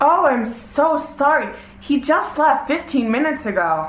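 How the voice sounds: A woman puts on a high-pitched character voice over light background noise. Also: moderate pace.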